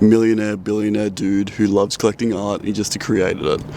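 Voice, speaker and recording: A man with an Australian accent speaks at a fairly low pitch and with fairly even intonation. There is noticeable background noise. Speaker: travel photography vlogger. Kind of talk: casual vlog talk to camera.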